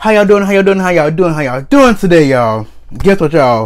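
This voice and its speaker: A man at a very fast pace, with very wide pitch swings. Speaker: food vlogger. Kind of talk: casual vlog chat. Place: home room. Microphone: phone near.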